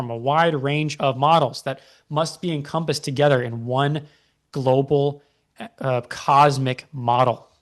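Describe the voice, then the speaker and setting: A man with a plain, everyday voice and a fairly high pitch talks with ordinary pitch variation. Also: quiet background. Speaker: creationist video presenter. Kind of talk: paper breakdown lecture with read-aloud passages.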